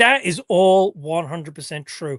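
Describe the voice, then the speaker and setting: This man speaks in a high voice. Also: quiet background. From northwest England. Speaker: sportswear designer. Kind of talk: interview. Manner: hesitant, many fillers.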